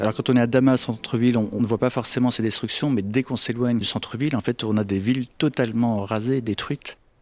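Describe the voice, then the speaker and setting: A man's medium-pitched voice, fairly quick and fairly even in intonation, with music in the background. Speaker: photographer. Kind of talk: interview answer. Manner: soft-spoken.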